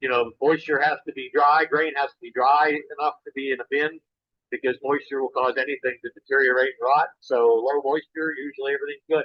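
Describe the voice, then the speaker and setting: A man speaks with monotone, flat intonation. His pitch is fairly high and his pace fairly quick. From Pennsylvania, Cambria County. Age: 60s. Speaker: beef and grain farmer. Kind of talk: Q&A answers on a virtual farm tour. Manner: halting, many fillers.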